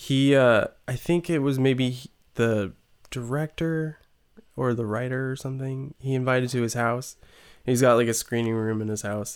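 In an ordinary speaking voice, a man with an American accent talks at a moderate pace and medium pitch with fairly even intonation, on a very clean recording with a silent background. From California. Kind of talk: casual chat.

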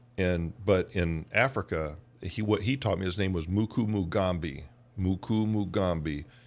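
An American accent at a moderate pace, with ordinary pitch variation, in a very clean recording with a silent background. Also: man, very deep, low pitch for a man. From US South, Georgia. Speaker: podcast co-host. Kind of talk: casual chat.

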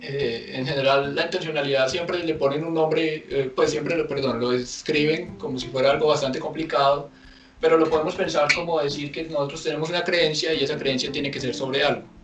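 Speech comes at a fairly quick pace with fairly even intonation. Noticeable background noise and audible room echo fill the recording. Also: man, fairly high pitch for a man. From Colombia. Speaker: philosophy student, page admin. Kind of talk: casual discussion.

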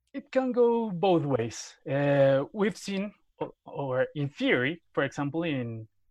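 A man speaks with a Spanish accent in a fairly high voice. The sound is dry and close, with no echo. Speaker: sports journalist. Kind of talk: interview.

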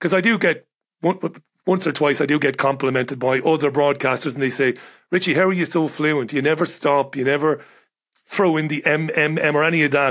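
With an Irish accent, a man talks at a fairly quick pace and a fairly high pitch, his loudness very even and his intonation fairly even, on a very clean recording with a silent background. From Ireland. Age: 40s. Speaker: radio broadcaster and journalist. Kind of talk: casual chat.

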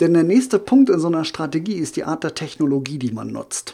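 His voice has a dark, mellow tone. The man's pitch sits fairly high. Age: 40s. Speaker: social media marketing consultant. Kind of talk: podcast interview.

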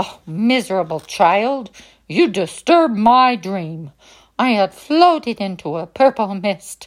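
Intonation is lively throughout this plain reading aloud.

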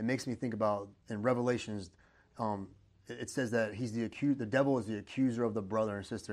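A medium-pitched man at a very fast pace, fairly even in intonation, with a quiet background. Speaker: podcast host. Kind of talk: interview.

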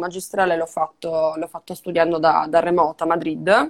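On a very clean recording with a silent background, a woman with a normal speaking voice talks at a fairly low pitch and a moderate pace. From Sardinia, Italy. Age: 20s. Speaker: digital strategist and podcaster. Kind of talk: casual interview.

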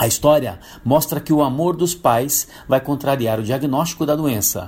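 A man speaks with lively intonation and a fairly high pitch. His voice is somewhat breathy, at a moderate pace. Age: 50s. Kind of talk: prepared testimony. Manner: formal.

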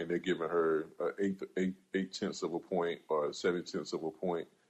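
In an American accent, a man speaks at a moderate pace with a very deep, low pitch and monotone, flat intonation. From South Carolina. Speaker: podcast host. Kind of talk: casual panel discussion. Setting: live audio stage.

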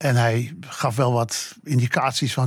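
A somewhat breathy man's voice at medium pitch, with fairly even intonation. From Amsterdam, Netherlands. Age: 80s+. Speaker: jazz journalist. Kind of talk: interview. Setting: studio.

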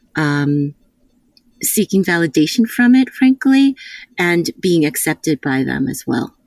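With a dry, close sound and no echo, a woman speaks at a fairly slow pace in a fairly low pitch, with very wide pitch swings. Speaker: counselor and camp co-director. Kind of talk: casual interview chat. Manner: soft-spoken, quiet to avoid being heard.

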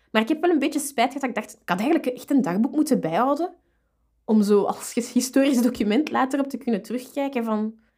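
This woman speaks at a fairly quick clip. Her high voice moves with lively intonation. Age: 30s. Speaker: librarian. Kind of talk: casual interview.

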